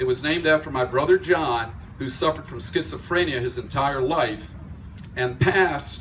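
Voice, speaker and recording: A man with an ordinary speaking voice, a fairly high pitch and a moderate pace. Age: 60s. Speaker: fitness club owner. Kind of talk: dedication speech.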